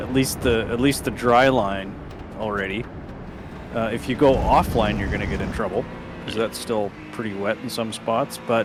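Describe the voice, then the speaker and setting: A man with a Canadian prairie accent and medium pitch speaks at a moderate pace with fairly even intonation. He takes long, frequent pauses against noticeable background noise. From Canadian prairies. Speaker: sim racing commentator. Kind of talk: live commentary.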